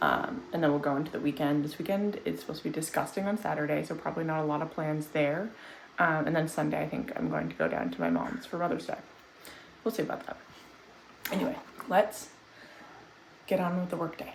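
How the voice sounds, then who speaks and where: The speech comes at a very fast pace, broken by long, frequent pauses. There is noticeable background noise along with audible room echo. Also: woman. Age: 20s. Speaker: vlogger. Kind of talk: casual vlog talk to camera. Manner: casual, rambling with fillers.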